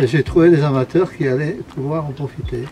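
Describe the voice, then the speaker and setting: A man with a fairly high pitch and ordinary pitch variation keeps a moderate pace against noticeable background noise. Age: 70s. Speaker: retired boat owner. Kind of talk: interview. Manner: halting.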